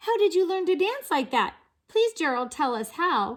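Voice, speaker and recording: A squeaky put-on character voice from a woman, extremely high-pitched with very wide pitch swings, in a very clean recording with a silent background. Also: moderate pace. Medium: read story.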